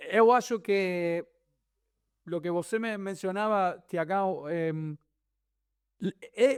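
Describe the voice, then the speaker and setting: On a very clean recording with a silent background, a man with a Spanish accent and a high pitch speaks very slowly, with ordinary pitch variation and long, frequent pauses. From Argentina. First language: Spanish (speaking Portuguese). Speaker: tennis commentator. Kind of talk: casual chat. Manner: halting.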